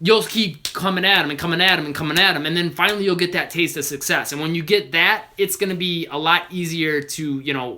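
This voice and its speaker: With hardly any pauses, a man talks at a high pitch. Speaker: basketball trainer. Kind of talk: live Q&A stream. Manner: fast.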